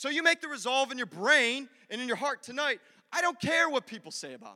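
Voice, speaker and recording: A man with an extremely high voice speaks in a raised, projected way, with lively intonation at a fairly quick pace, the sound dry and close with no echo. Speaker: pastor. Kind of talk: sermon. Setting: church. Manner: animated.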